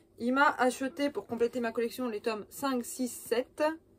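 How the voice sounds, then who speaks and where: With ordinary pitch variation, a woman talks in a high pitch. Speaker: cosplay youtuber. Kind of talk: casual vlog. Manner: hesitant, many fillers.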